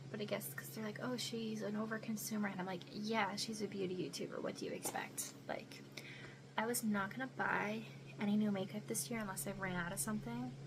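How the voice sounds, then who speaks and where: A woman talks at a fairly quick clip. There is noticeable background noise, and the room echo is audible. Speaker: beauty vlogger. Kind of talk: casual chat. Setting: bedroom at home.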